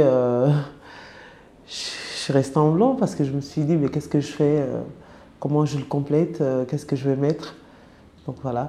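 Her voice very deep and low in pitch, a woman talks at a fairly slow pace in a dark, mellow tone. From francophone country abroad. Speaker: former sex worker. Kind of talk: personal testimony. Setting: around a table in an office. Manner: halting, many hesitations.

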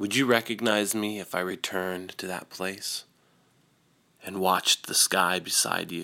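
Monotone and flat, a man speaks at a fairly slow pace in a very deep, low pitch with a bright, sharp tone. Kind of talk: poem reading. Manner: slow, somber and wistful, with deliberate pauses; intimate and softly emotional, almost confessional.

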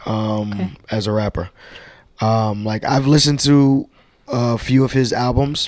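A man with an unremarkable speaking voice talks at a fairly slow pace, his medium pitch held in a fairly even intonation. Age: 30s. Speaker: podcast co-host. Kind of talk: casual chat.

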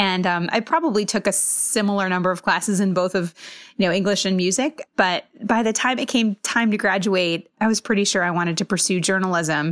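A woman has a plain, everyday voice at a medium pitch, heard dry and close with no echo. Loudness stays very even, and the recording is very clean with a silent background. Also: ordinary pitch variation, fairly quick pace. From Massachusetts and US West Coast. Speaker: TV biotech reporter. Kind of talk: interview.

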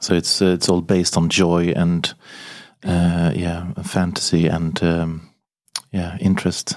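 A man with a very deep, low pitch and a Swedish accent, monotone and flat in intonation, at a fairly slow pace. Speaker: podcast host. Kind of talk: interview.

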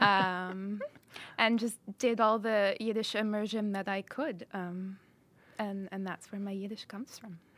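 A woman's medium-pitched voice in an American accent, fairly slow and monotone with flat intonation, big swings in loudness, and a very clean recording with a silent background. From US, Chicago. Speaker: translator. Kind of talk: interview.

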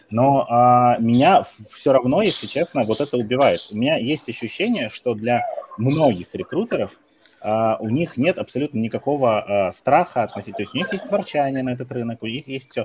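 The speaker uses lively intonation at a moderate pace over noticeable background noise. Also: man, medium pitch for a man. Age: 30s. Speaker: recruitment trainer. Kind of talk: casual chat.

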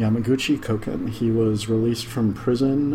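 A fairly low-pitched man at a fairly quick pace, over noticeable background noise. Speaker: podcast host. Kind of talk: casual chat. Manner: low, quiet talker.

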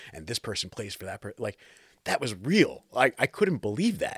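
A man with an American accent talks at a fairly quick pace. His voice is somewhat breathy, with lively intonation. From New Jersey. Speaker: keyboardist and producer. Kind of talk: casual interview.

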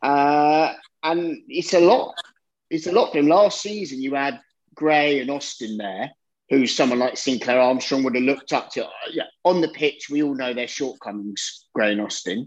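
With a plain, everyday voice, a man speaks at a moderate pace in a fairly high pitch, his intonation lively. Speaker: football fan. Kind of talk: casual football chat.

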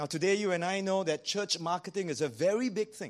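With a Singaporean accent, a man talks at a high pitch over a quiet background. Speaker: pastor. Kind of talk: sermon. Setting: church.

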